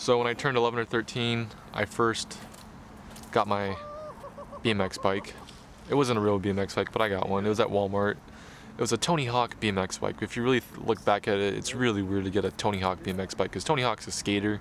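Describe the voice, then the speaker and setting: A man with an American accent talks at a very fast pace. His intonation is fairly even, and there is noticeable background noise. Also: fairly low pitch for a man. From US West Coast, Corona, California. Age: 20s. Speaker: BMX rider and vlogger. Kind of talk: personal documentary narration. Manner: casual, conversational.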